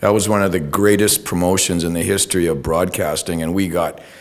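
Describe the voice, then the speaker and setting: A man speaks with a very deep, low voice, and the room echo is easy to hear. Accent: Canadian. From Ontario, Canada. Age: 60s. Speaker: retired TV news reporter. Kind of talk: public talk. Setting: talk to an audience. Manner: casual, hesitant with fillers.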